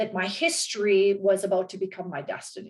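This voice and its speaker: The woman's voice has a medium pitch and an energetic tone. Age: 40s. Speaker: interview guest. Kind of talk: interview.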